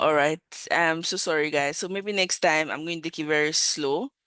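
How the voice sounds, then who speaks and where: In a dry, close recording with no echo, a woman has an unremarkable speaking voice, fairly low in pitch, with ordinary pitch variation. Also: quiet background. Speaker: design mentor / class instructor. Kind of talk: online class lecture and Q&A. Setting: online video meeting.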